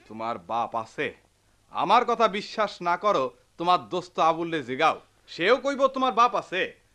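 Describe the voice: Using a put-on character voice, a man speaks high-pitched at a moderate pace, with a bright, sharp tone and big pitch swings.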